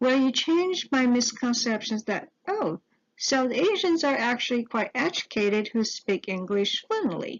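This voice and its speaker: A woman speaks at a fairly slow pace in a Mandarin accent, with a high pitch. Her pitch swings very widely while her loudness stays very even. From Taiwan. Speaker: teacher-education student. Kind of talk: scripted narration.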